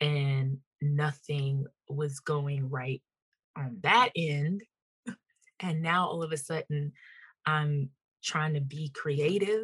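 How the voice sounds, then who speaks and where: Somewhat breathy, a woman speaks very slowly with a very deep, low pitch, ordinary pitch variation and long, frequent pauses, in a dry, close sound with no echo. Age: 30s. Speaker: entrepreneur and mother. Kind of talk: interview conversation.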